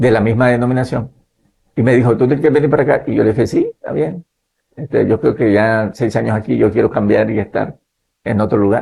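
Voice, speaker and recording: This man's voice, medium in pitch, has a dark, mellow tone, sounds somewhat breathy, and keeps a fairly quick pace. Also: ordinary pitch variation. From Nicaragua. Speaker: pastor and missionary. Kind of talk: interview, personal testimony. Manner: hesitant, repetitive fillers.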